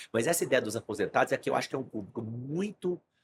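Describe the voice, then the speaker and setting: An ordinary speaking voice from a man at medium pitch, with lively intonation. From Brazil, Brasília. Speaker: stock market trader, investment firm client. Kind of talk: podcast interview conversation.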